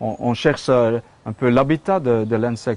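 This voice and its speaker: Speaking at a fairly slow pace, a man uses medium pitch. His pitch shows ordinary variation. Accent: Flemish. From Flanders, Belgium. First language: Dutch (Flemish) (speaking French). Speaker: sculptor. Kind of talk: casual studio tour explanation. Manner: halting, many hesitations and repetitions.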